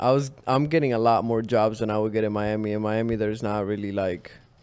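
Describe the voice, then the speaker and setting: Heard with audible room echo, a man speaks at a medium pitch with fairly even intonation. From Chile. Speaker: creative, model. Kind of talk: interview. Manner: casual.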